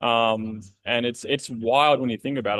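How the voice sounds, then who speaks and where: A man with an Australian accent speaks at a moderate pace. His intonation stays fairly even. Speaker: podcast host. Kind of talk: casual interview chat.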